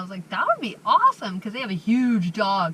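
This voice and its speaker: A woman speaks in a raised, projected voice at a moderate pace. Noticeable background noise runs underneath. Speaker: van life vlogger. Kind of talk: casual vlog chat. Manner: chatty, filler-heavy.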